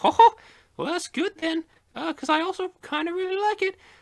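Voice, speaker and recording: Using a put-on character voice, the speaker talks at a fairly quick pace in an extremely high pitch. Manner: agitating, cartoonish.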